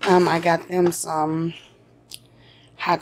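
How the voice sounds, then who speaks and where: A woman's fairly low voice with an American accent, at a very slow pace. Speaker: YouTube vlogger and mother. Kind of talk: casual vlog, grocery haul. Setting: at home, recording video. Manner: chatty, conversational.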